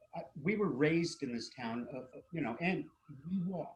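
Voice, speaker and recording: Lively intonation marks this moderate-paced speech in an American accent. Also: man. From US Northeast, Princeton New Jersey. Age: 60s. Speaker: local resident commenting at public meeting. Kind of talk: public comment at municipal meeting. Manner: halting, many fillers.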